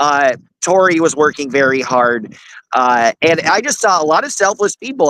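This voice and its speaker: A loud man with an American accent speaks at a moderate pace and a fairly high pitch, with a bright, sharp tone, lively intonation, and a dry, close sound with no echo. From US Northeast, Manhattan. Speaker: court journalist, activist. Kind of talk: interview.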